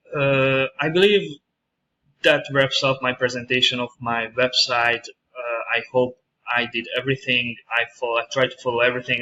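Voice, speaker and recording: In a strong Hungarian accent, a man at medium pitch talks at a moderate pace. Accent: heavy Hungarian. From Hungary. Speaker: university student. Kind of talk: screencast presentation. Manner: halting, many fillers.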